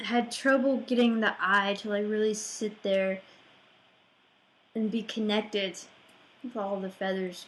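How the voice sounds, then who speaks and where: A woman speaks at a fairly slow pace and medium pitch. Her intonation is monotone and flat. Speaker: artist. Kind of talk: casual art process narration.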